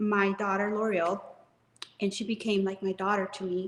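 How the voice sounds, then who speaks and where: This woman speaks with a Spanish accent. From Mexico, moved to US at age seven. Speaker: real estate business owner and author. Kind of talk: interview testimony.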